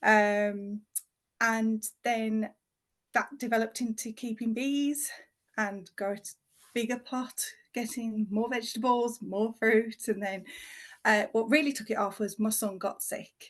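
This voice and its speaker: A woman with a West Midlands accent speaks at a fairly high pitch and a fairly slow pace. Her intonation stays fairly even, with long, frequent pauses. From West Midlands, England. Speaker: home educating mum, natural skincare founder. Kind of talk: podcast interview.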